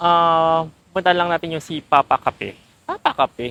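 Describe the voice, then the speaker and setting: Against noticeable background noise, a woman with a fairly low pitch speaks in a dry, close sound with no echo. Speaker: travel vlogger. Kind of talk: casual vlog. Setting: outdoors walking. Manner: animated.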